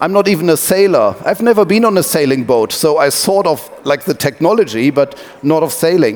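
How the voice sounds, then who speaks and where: A man's high-pitched voice with a German accent, lively intonation, very even loudness and hardly any pauses, over noticeable background noise. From Germany (Wuppertal). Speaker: tech company owner, sailing team co-founder. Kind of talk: talk to an audience, storytelling. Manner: hesitant, many fillers.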